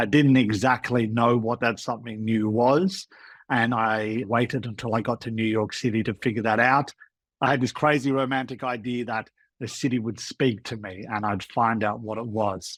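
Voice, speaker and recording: On a very clean recording with a silent background, a medium-pitched man with an Australian accent speaks at a moderate pace with fairly even intonation. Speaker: food tour guide, former lawyer. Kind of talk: podcast interview.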